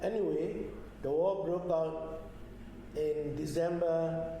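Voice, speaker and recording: A man's fairly high-pitched voice at a very slow pace with fairly even intonation, audible room echo and noticeable background noise. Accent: Burmese. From Myanmar, Yangon. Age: 80s+. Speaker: retired geologist and oil executive. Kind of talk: oral history interview. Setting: at his home.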